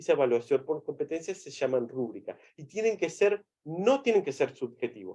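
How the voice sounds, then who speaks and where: Very wide pitch swings run through a man's dark, mellow voice. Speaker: medical physicist presenter. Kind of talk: webinar presentation. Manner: fast.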